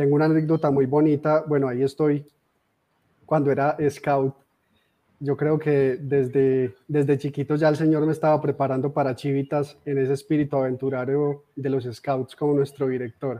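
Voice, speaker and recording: Keeping a monotone, flat intonation, a man with a fairly high pitch talks at a moderate pace. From Colombia, Armenia (Quindío) with Antioquia influence. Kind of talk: testimony. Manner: halting, with repetitions. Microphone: phone mic after power outage.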